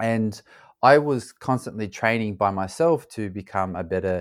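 Against a silent background in a very clean recording, a man with an Australian accent speaks at a fairly low pitch with lively intonation. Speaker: former pro soccer player and ultra-endurance athlete. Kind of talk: interview conversation.

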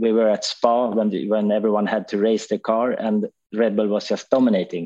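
In a Swedish accent, a dark, mellow tone moves at a moderate pace with fairly even intonation over a quiet background. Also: man. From Sweden. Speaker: touring car racing driver. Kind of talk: casual chat.

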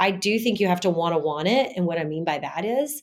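At a fairly quick pace, a woman with a normal speaking voice speaks at a medium pitch. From US South. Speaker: gynecologist. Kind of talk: casual interview.

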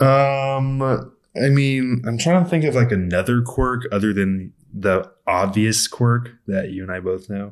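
An ordinary speaking voice with an American accent, ordinary pitch variation and a fairly slow pace with hardly any pauses. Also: man, medium pitch for a man. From US West Coast. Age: 20s. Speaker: professional baseball player. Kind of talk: casual chat. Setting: home apartment.

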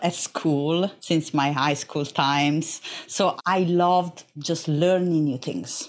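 A woman with an Italian accent at a very slow pace. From Italy, Naples. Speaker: epigenetics researcher and lecturer. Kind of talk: interview.

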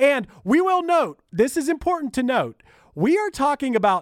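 Speaking at a moderate pace in a strong Pittsburgh accent, a man sounds dry and close, with no echo. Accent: thick Pittsburgh. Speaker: podcast host. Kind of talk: casual chat.

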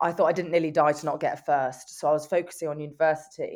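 A woman speaks in a London accent with a very deep, low pitch and flat, monotone intonation. The recording is very clean, the background silent. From England, North London. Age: 20s. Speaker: motivational speaker and amputee athlete. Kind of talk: interview.

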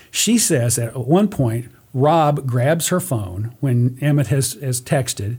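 A man speaks fairly slowly in a somewhat breathy, dark, mellow voice of medium pitch with ordinary pitch variation. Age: 60s. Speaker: guest, father of a host, true crime storyteller. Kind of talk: casual chat.

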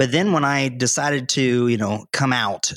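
A man talks with a Southern US accent and fairly even intonation. The recording is very clean, dry and close, with a silent background and no echo. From North Carolina. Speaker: doctor. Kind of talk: casual interview.

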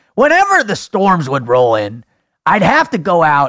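A man puts on a character voice pitched high. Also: moderate pace.

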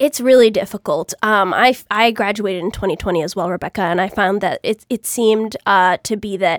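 A woman with an ordinary speaking voice and an American accent talks at a moderate pace with hardly any pauses, her medium pitch showing ordinary variation, in a dry, close sound with no echo. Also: very clean recording, silent background. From Greater Boston. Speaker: newsletter producer. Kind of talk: casual chat.

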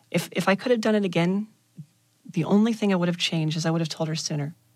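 The voice sounds somewhat breathy, with fairly even intonation. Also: woman. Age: 30s. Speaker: interviewee sharing personal story. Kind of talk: interview.

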